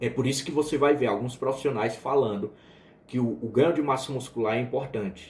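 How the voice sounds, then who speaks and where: Somewhat breathy, a man speaks at a medium pitch and a fairly quick pace with fairly even intonation. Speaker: biochemistry teacher. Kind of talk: lecture. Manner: casual, with fillers and restarts.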